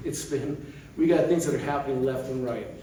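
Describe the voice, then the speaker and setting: Audible room echo and noticeable background noise surround a man who speaks very fast. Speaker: committee member giving update. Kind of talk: meeting presentation. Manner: loud.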